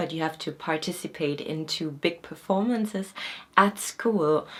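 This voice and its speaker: A woman with a non-native accent, moderate pace and ordinary pitch variation. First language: not Korean. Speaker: acting student and vlogger. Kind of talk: informational vlog. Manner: casual, with fillers.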